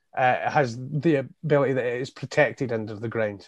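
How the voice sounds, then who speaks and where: A man's medium-pitched voice with a Scottish accent, ordinary pitch variation, and a dry, close sound with no echo. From Scottish Borders (Hawick). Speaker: independent election candidate and carer. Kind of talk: interview. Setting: video call.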